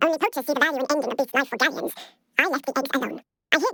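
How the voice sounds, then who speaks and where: A squeaky put-on character voice at a very fast pace. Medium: video game. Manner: measured, formal.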